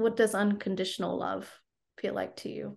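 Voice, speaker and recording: A woman's medium-pitched voice with vocal fry, in an American accent, over a quiet background. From US. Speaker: podcast host and life coach. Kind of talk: interview, casual chat.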